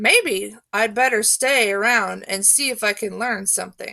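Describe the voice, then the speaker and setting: A woman uses a put-on character voice, raspy and fairly high in pitch. She speaks quietly. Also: moderate pace. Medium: read story. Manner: quiet, to himself.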